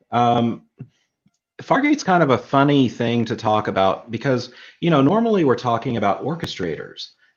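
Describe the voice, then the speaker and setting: This man's medium-pitched voice has lively intonation. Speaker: tech streaming co-host. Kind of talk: live tutorial stream. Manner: slow.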